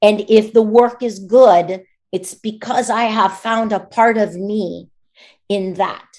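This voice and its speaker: A woman with an American accent speaks at a very slow pace. Her voice is fairly high, with ordinary pitch variation. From United States. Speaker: voice actor. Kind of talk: interview answer.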